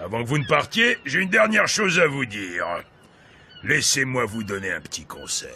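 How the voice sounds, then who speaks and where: A man's raspy, put-on character voice, fairly high in pitch, with very wide pitch swings at a moderate pace. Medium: fan dub. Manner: paternal, knowing.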